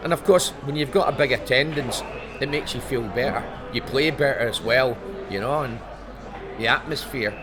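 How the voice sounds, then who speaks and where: A man's fairly high voice with a Scottish accent, moderate pace, ordinary pitch variation and long, frequent pauses, amid noticeable background noise and audible room echo. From Scotland. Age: 70s. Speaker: former footballer. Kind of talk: interview. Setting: author convention.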